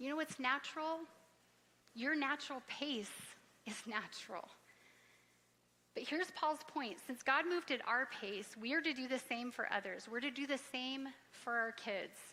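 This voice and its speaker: A woman uses a raised, projected voice, high in pitch and bright, sharp in tone, at a moderate pace with ordinary pitch variation. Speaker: pastor. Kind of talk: sermon.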